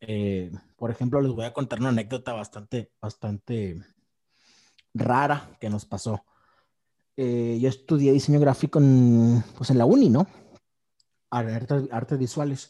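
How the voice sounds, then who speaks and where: A man's medium-pitched voice with a dark, mellow tone, ordinary pitch variation, a fairly slow pace and long, frequent pauses, in a dry, close sound with no echo. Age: 30s. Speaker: podcast host. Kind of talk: casual chat.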